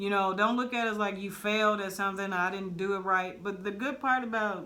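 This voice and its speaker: Audible room echo surrounds a woman speaking at a medium pitch. She talks at a fairly quick pace with ordinary pitch variation. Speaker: barber stylist podcast co-host. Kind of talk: casual chat.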